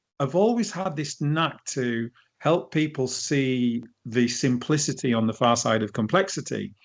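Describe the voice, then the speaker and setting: Lively intonation marks this man's northern English accent. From northern England, edge of Lake District. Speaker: leadership coach. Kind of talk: interview. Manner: hesitant, many false starts.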